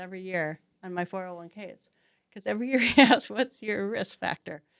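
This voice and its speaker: This is a normal speaking voice at a moderate pace with ordinary pitch variation. The sound is dry and close, with no echo. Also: woman. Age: 60s. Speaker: real estate agent. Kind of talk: interview.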